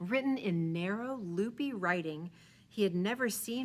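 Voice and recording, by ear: The clip is read aloud in a natural voice. The intonation is lively.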